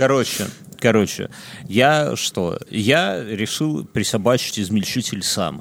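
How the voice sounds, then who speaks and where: A man speaks at a very slow pace in a fairly low pitch. His intonation is lively. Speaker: podcast co-host. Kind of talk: casual chat. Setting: studio. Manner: animated.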